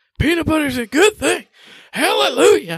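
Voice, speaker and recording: A high, put-on character voice with a Southern US accent talks at a moderate pace. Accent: Southern American. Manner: preaching, comic.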